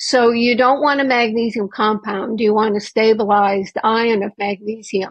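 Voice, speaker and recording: Somewhat breathy, a woman speaks at a moderate pace and fairly high pitch with fairly even intonation. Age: 70s. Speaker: medical doctor and naturopath. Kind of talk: interview.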